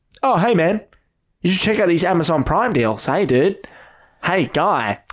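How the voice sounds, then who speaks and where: Putting on a nasal character voice, a man speaks at a moderate pace in a high pitch with very wide pitch swings. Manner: mocking, salesy.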